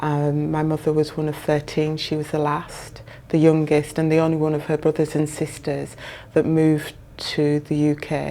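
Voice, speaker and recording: A woman speaks at a fairly slow pace with a Yorkshire accent. Her pitch is very deep and low, and her tone is dark and mellow. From northern England (Bradford, Yorkshire). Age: 60s. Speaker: social housing professional. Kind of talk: interview.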